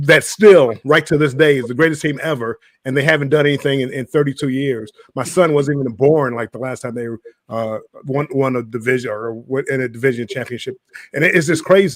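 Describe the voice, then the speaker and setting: A plain, everyday voice, this man speaks at a fairly high pitch and a fairly quick pace with ordinary pitch variation. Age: 60s. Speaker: cruise vlogger panelist. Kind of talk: live stream panel chat.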